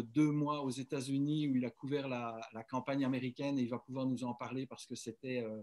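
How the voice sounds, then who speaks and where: A man's unremarkable speaking voice at medium pitch, with fairly even intonation and a moderate pace. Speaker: webinar host. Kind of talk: webinar introduction.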